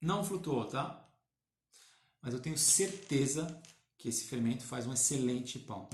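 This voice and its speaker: Speaking with lively intonation and a somewhat breathy quality, a man leaves long, frequent pauses in a room with audible echo. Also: medium pitch for a man, fairly slow pace. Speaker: baker. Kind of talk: live-stream tutorial. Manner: halting, many fillers.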